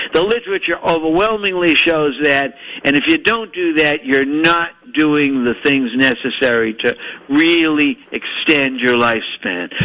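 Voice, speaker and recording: Over noticeable background noise, a man with a fairly high pitch speaks at a fairly slow pace. His intonation is lively and his loudness very even. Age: 80s+. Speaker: physician. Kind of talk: interview. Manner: halting.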